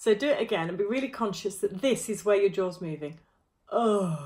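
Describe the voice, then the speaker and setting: A woman at a medium pitch sounds somewhat breathy, her intonation lively. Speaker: choir vocal coach. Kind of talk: tutorial.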